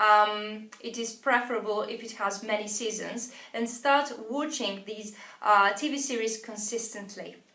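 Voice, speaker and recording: Bright and sharp in tone, this woman speaks with a non-native accent. Her pitch is fairly high and her loudness swings widely. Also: fairly even intonation, fairly slow pace. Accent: non-native English speaker. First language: not English. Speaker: English teacher. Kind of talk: tutorial. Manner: hesitant, frequent uh fillers.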